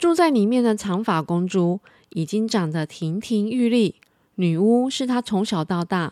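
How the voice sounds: A natural reading voice carries this clip.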